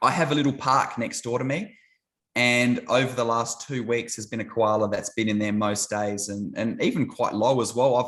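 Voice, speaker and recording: A man with an Australian accent talks at a moderate pace and a medium pitch, his intonation fairly even. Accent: thick Australian. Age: 30s. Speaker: YouTuber, ministry channel. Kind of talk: casual chat.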